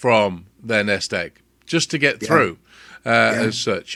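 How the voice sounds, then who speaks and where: In a British accent, a man speaks at a moderate pace with a bright, sharp tone, vocal fry and very wide pitch swings. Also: very clean recording, silent background. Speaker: radio show host. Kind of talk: radio interview, casual host talk.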